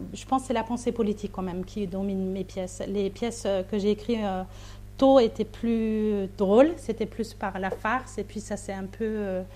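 A woman with a German accent, at a moderate pace. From Austria. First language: German (speaking French). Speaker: novelist and playwright. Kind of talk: interview. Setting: remote link from another city. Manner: halting, with frequent hesitations.

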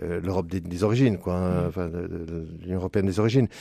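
At a fairly quick pace, a man with a very deep, low voice and a dark, mellow tone speaks with ordinary pitch variation on a very clean recording with a silent background. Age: 70s. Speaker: priest. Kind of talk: radio interview. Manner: halting, many repetitions and hesitations.

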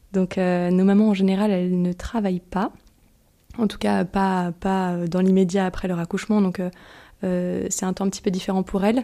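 The woman's tone is dark and mellow, her intonation flat and monotone, at a moderate pace. The recording is very clean, with a silent background. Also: medium pitch for a woman. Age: 30s. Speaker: volunteer in a shared house for mothers. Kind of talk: testimony.

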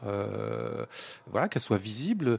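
The speaker is a man with a medium-pitched voice. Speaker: retired civil servant, parish team member. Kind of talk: radio round-table discussion.

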